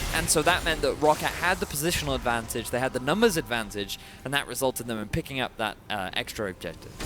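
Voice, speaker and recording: Over noticeable background noise, a man talks very fast at a medium pitch with lively intonation and hardly any pauses. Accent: Welsh. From Wales. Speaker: esports commentator. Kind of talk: live commentary.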